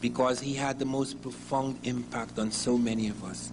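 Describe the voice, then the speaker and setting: The speaker talks at a fairly slow pace. Some room echo can be heard. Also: man. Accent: Guyanese. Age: 60s. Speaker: historian. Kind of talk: lecture.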